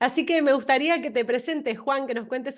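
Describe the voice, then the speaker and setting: A woman speaks in a Rioplatense accent with a high pitch and ordinary pitch variation. The background is quiet. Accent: Argentine Spanish, Rioplatense. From Argentina. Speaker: interview host. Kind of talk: interview.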